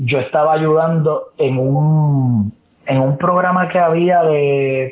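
An ordinary speaking voice from a man, fairly high-pitched, with fairly even intonation. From Puerto Rico, San Juan area. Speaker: sports reporter and analyst. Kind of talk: casual interview chat.

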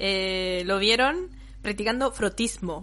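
A woman with a Chilean accent, lively intonation and a fairly slow pace. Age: 20s. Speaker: podcast co-host. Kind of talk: casual chat.

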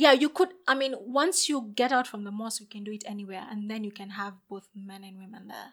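An ordinary speaking voice from a woman, fairly high-pitched, fairly quick with hardly any pauses and big swings in loudness. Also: lively intonation. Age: 20s. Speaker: podcast co-host. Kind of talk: casual chat.

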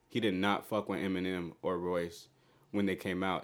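At a moderate pace, a man with an ordinary speaking voice talks at a fairly low pitch in a very clean recording with a silent background. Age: 20s. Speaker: music podcast co-host. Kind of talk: casual chat.

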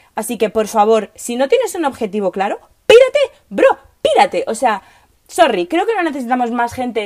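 Fairly quick and animated, the voice has lively intonation. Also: woman. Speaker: podcast host, political scientist. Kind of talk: casual monologue. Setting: recording in a wardrobe at home.

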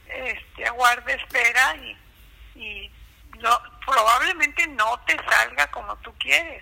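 Over noticeable background noise, a woman with a high pitch speaks at a very slow pace with lively intonation. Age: 80s+. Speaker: interviewee. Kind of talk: casual chat. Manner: halting.

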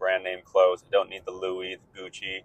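A man at a fairly quick pace. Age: 20s. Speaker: podcast host, personal finance. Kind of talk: solo monologue.

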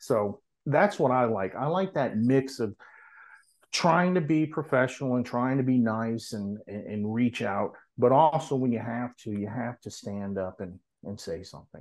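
Against a quiet background, a man in a normal speaking voice talks at a moderate pace with an American accent, medium pitch, lively intonation and big swings in loudness. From US South, New Orleans. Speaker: nurse practitioner and nonprofit founder. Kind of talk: casual interview.

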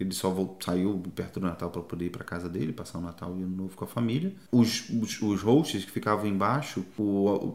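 Fairly quick delivery with hardly any pauses and ordinary pitch variation. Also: man, very deep, low pitch for a man. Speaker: travel podcaster. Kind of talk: casual chat.

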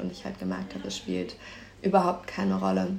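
A woman's voice comes with audible room echo. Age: 20s. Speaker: university student. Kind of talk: casual chat.

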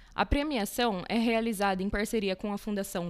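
Here is a woman with an ordinary speaking voice. She talks at a moderate pace with ordinary pitch variation. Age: 20s. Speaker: university student and podcast co-host. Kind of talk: news reading.

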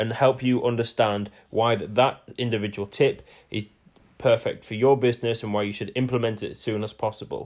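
The recording is very clean with a silent background. A man with an East Yorkshire accent speaks at a medium pitch and a fairly quick pace, his intonation fairly even. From northern England, near Hull. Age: 20s. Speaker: podcast host, salesperson. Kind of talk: solo podcast monologue.

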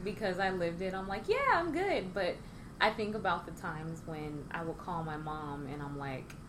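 Very wide pitch swings amid audible room echo. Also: woman. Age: 30s. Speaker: baker and Navy veteran. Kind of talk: casual interview.

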